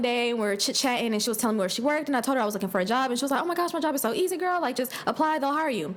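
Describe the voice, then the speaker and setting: An animated woman's voice with very wide pitch swings, against noticeable background noise. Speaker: podcast host. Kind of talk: casual rant and storytelling. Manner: fast.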